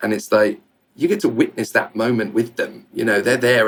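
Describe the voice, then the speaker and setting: This is a man speaking. His pace is very fast. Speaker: motorsport commentator. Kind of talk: interview. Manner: animated.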